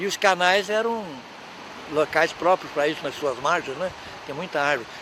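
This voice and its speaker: A man with a high voice speaks at a moderate pace over noticeable background noise. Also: ordinary pitch variation. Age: 80s+. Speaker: elderly local resident interviewee. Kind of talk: reminiscing interview.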